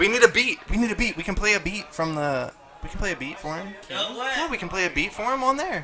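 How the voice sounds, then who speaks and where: Amid noticeable background noise, a man talks at a fairly quick pace, his high pitch jumping in very wide swings. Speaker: podcast host. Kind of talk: casual chat. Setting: New Year's Eve house party.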